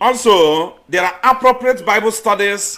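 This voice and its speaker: Speaking at a very slow pace, a man uses a raised, projected voice with very wide pitch swings. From eastern Nigeria. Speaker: missionary and agricultural student. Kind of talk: sermon.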